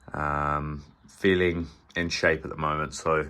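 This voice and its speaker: He has a British accent. The recording is very clean, with a silent background. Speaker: fitness coach. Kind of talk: vlog.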